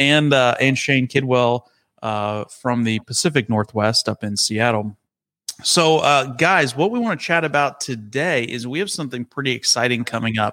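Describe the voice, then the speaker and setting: A man with a Texan accent speaks in a bright, sharp tone at a moderate pace with ordinary pitch variation, the sound dry and close with no echo. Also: medium pitch for a man, very clean recording, silent background. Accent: Texas Southern. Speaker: podcast host. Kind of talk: casual chat.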